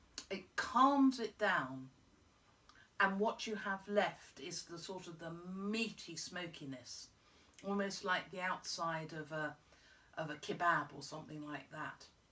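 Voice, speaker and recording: At a fairly slow pace, a woman speaks with long, frequent pauses and big swings in loudness. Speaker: whisky reviewer. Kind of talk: product review to camera. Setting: at home in front of a fire. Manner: chatty.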